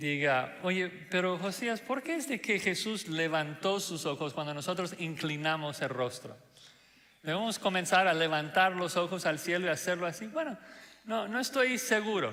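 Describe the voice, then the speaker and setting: A man's high-pitched voice with lively intonation, noticeable background noise and audible room echo. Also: moderate pace. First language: not Spanish (speaking Spanish). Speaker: pastor. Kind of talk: sermon. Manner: hesitant with fillers.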